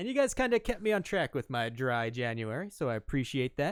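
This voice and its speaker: Upbeat and very fast, the voice swings very widely in pitch on a very clean recording with a silent background, dry and close with no echo. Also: man. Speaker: podcast host. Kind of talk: show intro and sub shout-outs; casual chat. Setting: live stream.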